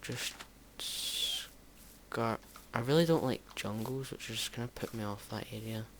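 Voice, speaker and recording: Under noticeable background noise, a man talks. His medium pitch shows ordinary variation. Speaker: gaming youtuber. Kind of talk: let's play commentary. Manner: halting, many fillers.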